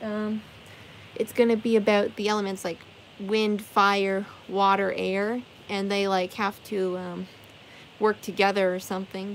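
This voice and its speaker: Light background noise sits behind a woman's voice. She talks at a moderate pace. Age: 20s. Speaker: live streamer painting for viewers. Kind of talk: casual live stream chat with viewers. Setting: live stream from her bedroom. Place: home room. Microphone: phone near.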